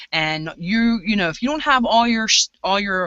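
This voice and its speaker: Her intonation lively, the woman talks at a somewhat brisk pace. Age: 40s. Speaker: prepper group leader. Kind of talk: casual chat. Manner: animated.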